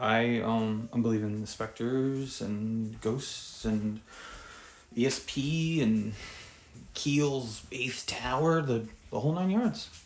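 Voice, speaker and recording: Audible room echo surrounds a man talking at a very slow pace, medium in pitch with ordinary pitch variation. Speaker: psychedelic fiction author. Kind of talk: casual chat. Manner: halting.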